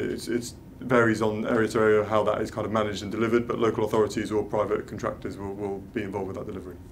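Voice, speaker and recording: A man with a London accent at a very fast pace, monotone and flat, over light background noise. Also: hardly any pauses. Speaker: cycling events officer; guest. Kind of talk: panel Q&A. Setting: live video stream. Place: meeting room.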